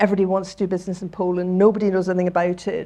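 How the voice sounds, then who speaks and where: With a Scottish accent, a woman speaks in a dark, mellow tone at a fairly low pitch. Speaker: charity chief executive. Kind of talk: talk to audience. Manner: animated.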